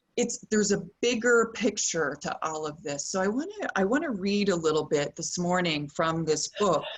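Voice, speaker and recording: Using a plain, everyday voice, a woman with a Canadian accent talks at a moderate pace and medium pitch with lively intonation and hardly any pauses. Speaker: yoga teacher. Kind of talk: yoga class talk.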